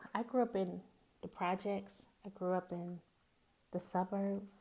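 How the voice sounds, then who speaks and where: A woman with a Southern accent speaks at a fairly slow pace in a medium pitch, her tone dark and mellow, with long, frequent pauses. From US South, Greenwood, Mississippi. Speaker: podcast host. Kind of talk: casual monologue.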